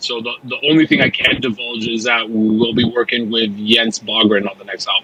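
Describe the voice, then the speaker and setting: A man's medium-pitched, monotone, flat delivery at a moderate pace, with noticeable background noise. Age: 20s. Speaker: metal band musician. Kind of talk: casual interview chat.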